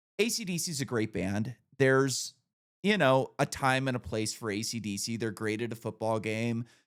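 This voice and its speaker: In a very clean recording with a silent background, a man with an American accent and an ordinary speaking voice talks at a moderate pace and medium pitch with ordinary pitch variation. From Northern California. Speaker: podcast host. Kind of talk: casual chat.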